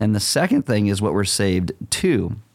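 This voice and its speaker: A man with a normal speaking voice, fairly low in pitch, at a moderate pace. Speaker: pastor. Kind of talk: casual chat.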